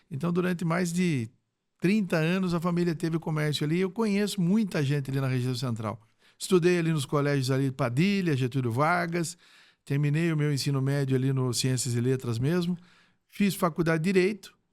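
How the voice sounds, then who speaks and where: On a very clean recording with a silent background, a man with an unremarkable speaking voice talks at a fairly quick pace, his fairly high pitch showing ordinary variation. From Brazil, Sorocaba (São Paulo state). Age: 60s. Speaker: retired police chief. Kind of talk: podcast interview.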